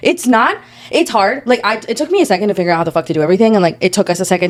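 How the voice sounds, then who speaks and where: Against noticeable background noise, a woman talks at a very fast pace with lively intonation and an animated tone. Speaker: podcast co-host. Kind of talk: casual chat.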